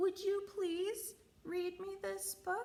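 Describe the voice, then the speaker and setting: Putting on a character voice, a woman speaks in a squeaky, extremely high pitch. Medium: read story. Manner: polite, earnest.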